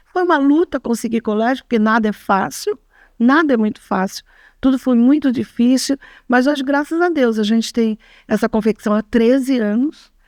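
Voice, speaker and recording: A woman's high-pitched voice at a moderate pace, with ordinary pitch variation, on a very clean recording with a silent background. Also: very even loudness, dry, close sound with no echo. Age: 60s. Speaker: clothing workshop owner. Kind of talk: testimony. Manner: halting.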